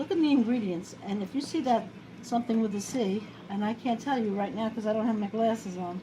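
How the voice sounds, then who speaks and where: A woman with a New York accent talks at a fairly quick pace in a fairly high voice with ordinary pitch variation, over noticeable background noise. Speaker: home cooking video host. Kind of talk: casual cooking tutorial. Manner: chatty, rambling.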